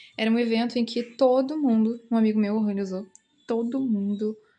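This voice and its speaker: A woman's somewhat breathy, fairly high voice with a dark, mellow tone, fairly even intonation and a moderate pace, against a quiet background. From Brazil. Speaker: artist vlogger. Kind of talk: casual vlog, showing a sketchbook. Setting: at her boyfriend's home.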